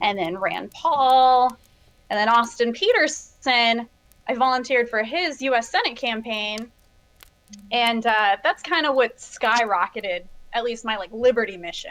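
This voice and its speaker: With an American accent, a woman speaks in a normal speaking voice at a fairly slow pace, her fairly high pitch showing ordinary pitch variation. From Michigan. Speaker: YouTuber and political activist. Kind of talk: casual interview. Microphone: too quiet at first.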